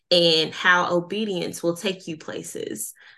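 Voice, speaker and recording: Very slowly, a woman speaks in a fairly low voice with a bright, sharp tone. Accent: Southern US. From US South. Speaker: podcast host. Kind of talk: casual interview chat.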